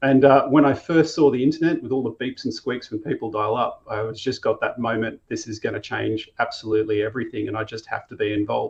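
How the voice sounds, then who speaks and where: A man with an Australian accent talks at a very fast pace. He leaves hardly any pauses. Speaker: company co-founder. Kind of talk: interview.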